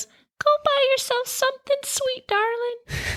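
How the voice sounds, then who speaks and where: A female-sounding voice does a put-on character at an extremely high pitch. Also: fairly slow pace. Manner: tender.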